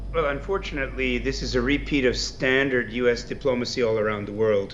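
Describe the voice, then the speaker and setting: A man talks at a medium pitch, and the room echo is audible. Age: 60s. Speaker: political analyst. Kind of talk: news interview.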